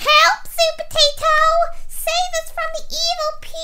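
The pace here is fairly slow. The speaker uses a put-on character voice. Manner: pleading, calling for help.

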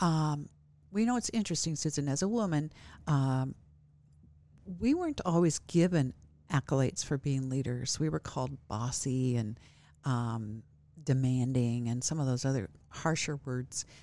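A dark, mellow tone moves at a moderate pace, broken by long, frequent pauses. The recording is very clean, with a silent background. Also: woman, very deep, low pitch for a woman, lively intonation. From US Midwest, small farming town. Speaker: college president. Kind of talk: interview. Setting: studio.

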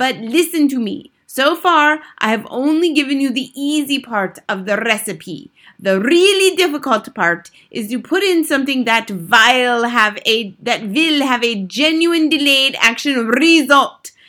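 A woman does a put-on character voice, high-pitched with a bright, sharp tone. Her intonation is lively, and she goes at a fairly slow pace with few pauses.

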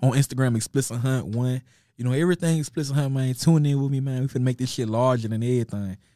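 This man has an American accent and a medium-pitched voice with a dark, mellow tone. He talks at a fairly quick pace, and the sound is dry and close with no echo. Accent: Southern US, Memphis-like. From Nashville, Tennessee. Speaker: rapper. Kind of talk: casual chat. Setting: studio. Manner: animated.

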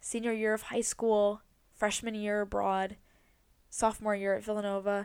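Quiet and flat in intonation, a woman with a fairly high pitch speaks at a moderate pace on a very clean recording with a silent background. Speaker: podcast host. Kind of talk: personal monologue. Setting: in bed at home.

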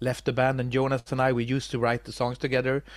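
In a very clean recording with a silent background, a man with a Swedish accent speaks at a medium pitch. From Sweden. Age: 40s. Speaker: metal musician. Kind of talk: interview. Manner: halting, many repetitions.

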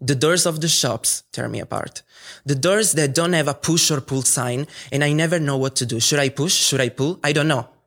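Speaking at a moderate pace in an Italian accent, a fairly high-pitched man uses ordinary pitch variation. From Italy. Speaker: student. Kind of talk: storytelling performance. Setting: stage with audience.

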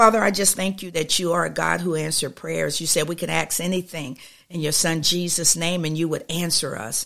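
Bright and sharp in tone, this woman's fairly low voice carries vocal fry and fairly even intonation at a fairly quick pace with hardly any pauses, in a very clean recording with a silent background. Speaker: prayer podcast host. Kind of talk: fervent prayer, spoken aloud to God. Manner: earnest, pleading, impassioned, repeating 'Lord God' and 'Oh God'; rhythmic, flowing, with small hesitations.

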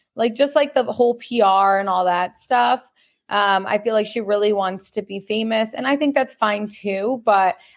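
A plain, everyday voice from a woman at medium pitch, with ordinary pitch variation and a moderate pace. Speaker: podcaster. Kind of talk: casual chat. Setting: video call.

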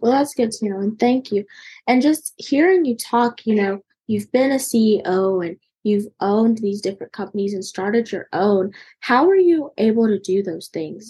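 At a moderate pace, a woman with a medium-pitched, somewhat breathy, dark and mellow voice speaks with lively intonation. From North Carolina. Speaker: podcast host. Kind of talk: podcast interview.

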